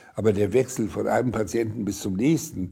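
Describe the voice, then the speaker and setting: A dark, mellow tone, somewhat breathy. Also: man. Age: 80s+. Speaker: retired eye surgeon. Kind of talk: documentary interview, personal recollection. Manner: hesitant, with many fillers.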